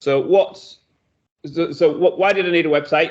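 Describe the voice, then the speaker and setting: A man with a high pitch and ordinary pitch variation. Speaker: web design business owner. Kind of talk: presentation. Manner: fast; hesitant, many fillers.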